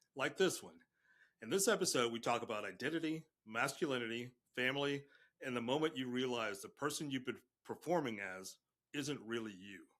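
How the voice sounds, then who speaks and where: In a plain, everyday voice, a man at medium pitch talks at a fairly quick pace with lively intonation and big swings in loudness. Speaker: podcast host. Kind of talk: podcast interview.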